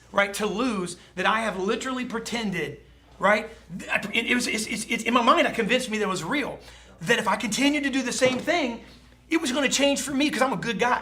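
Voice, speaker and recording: A man with an extremely high pitch talks at a fairly quick pace over noticeable background noise. His voice is raised and projected, with an animated tone. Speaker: sales trainer. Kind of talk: motivational talk. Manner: fast.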